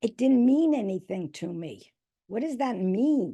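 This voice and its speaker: With a New York accent, a woman speaks at a fairly slow pace. Her voice is somewhat breathy, with very wide pitch swings. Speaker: reading specialist and educator. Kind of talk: presentation.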